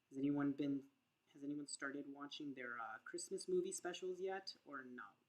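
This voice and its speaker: A woman's mumbling, very deep and low voice at a moderate pace with ordinary pitch variation. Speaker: crochet podcaster. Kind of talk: live crochet tutorial. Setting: livestream. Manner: casual, thinking aloud.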